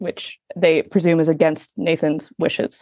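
A woman with a normal speaking voice talks at a fairly low pitch with ordinary pitch variation. The sound is dry and close with no echo, over a quiet background. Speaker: culture writer. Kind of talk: casual interview chat about a film.

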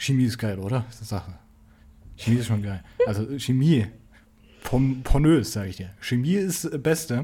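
Pausing long and often, a man speaks at a moderate pace and medium pitch in a dark, mellow, somewhat breathy tone. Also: lively intonation. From Saxony, Germany. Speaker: podcast co-host, university student. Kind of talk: casual chat. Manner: halting, many fillers.

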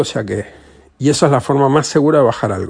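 The man's voice has a dark, mellow tone. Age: 40s. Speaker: podcaster. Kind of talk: casual monologue. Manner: halting.

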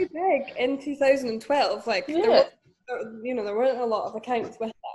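A woman speaks with a Scottish accent, her pitch high. Her intonation is lively and her pace fairly quick. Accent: Scottish (Fife). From Scotland, Dunfermline. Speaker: entrepreneur and podcast co-host. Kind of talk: casual chat.

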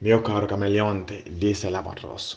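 Somewhat breathy and dark, mellow in tone, a man's fairly low voice carries a Ghanaian accent. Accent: Ghanaian-accented Italian and English. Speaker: storyteller. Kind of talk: storytelling. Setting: remote voice recording. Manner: halting.

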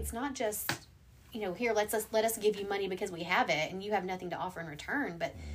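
A woman's normal speaking voice at a medium pitch, with an American accent and lively intonation. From US South. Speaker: pastor. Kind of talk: casual chat.

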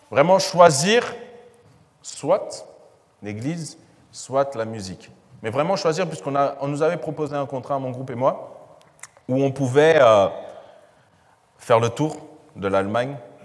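A man's fairly high pitch and lively intonation, a fairly slow pace with long, frequent pauses, and audible room echo. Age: 20s. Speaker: financial education trainer. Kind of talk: talk to church audience. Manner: hesitant, many fillers.

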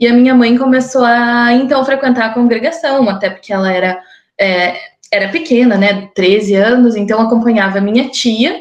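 This woman, with an unremarkable speaking voice, sounds fairly high-pitched, varies her pitch ordinarily, and talks at a moderate pace. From southern Brazil, Curitiba (Paraná) since age 10. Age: 20s. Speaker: podcast guest sharing her life story. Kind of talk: personal testimony. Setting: recorded conversation.

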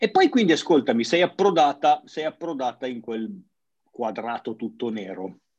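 The loudness swings widely and the pitch swings very widely. Delivery comes at a moderate pace. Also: man, fairly high pitch for a man. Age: 40s. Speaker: CrossFit gym owner and podcast host. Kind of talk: casual interview chat. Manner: halting, repeats words.

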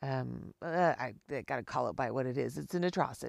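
Very clean recording with a silent background of a woman speaking at a fairly slow pace. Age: 50s. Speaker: podcaster. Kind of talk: personal monologue. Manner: halting.

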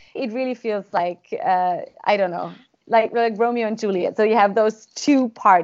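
Speaking at a moderate pace with a German accent, a woman has a fairly high pitch and ordinary pitch variation. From Austria. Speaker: government negotiator. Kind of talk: interview.

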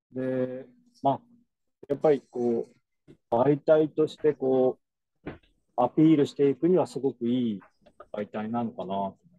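Using a medium pitch and a dark, mellow tone, a man speaks at a fairly slow pace with long, frequent pauses and ordinary pitch variation. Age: 40s. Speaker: dairy farmer. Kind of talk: casual chat.

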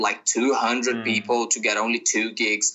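A man with a medium pitch and a Brazilian accent, at a moderate pace. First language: Portuguese. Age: 20s. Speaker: touring musician. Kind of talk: casual interview.

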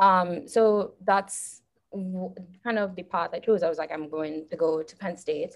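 Speaking at a fairly slow pace in a Trinidadian accent, a woman uses medium pitch and fairly even intonation, with big swings in loudness. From Trinidad and Tobago. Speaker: geology graduate student. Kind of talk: casual chat. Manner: halting.

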